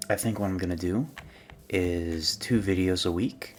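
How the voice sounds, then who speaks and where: A man speaks quietly in a very deep, low voice. His pitch varies in an ordinary way. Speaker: gaming video creator. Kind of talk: casual gameplay commentary. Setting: home recording at night. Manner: quiet, subdued; halting, many fillers.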